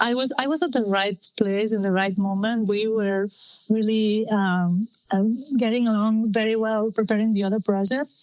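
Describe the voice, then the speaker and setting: A woman with a Spanish accent, fairly even intonation, very even loudness, and a moderate pace, over noticeable background noise. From Spain. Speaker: film director. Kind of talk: interview. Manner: halting.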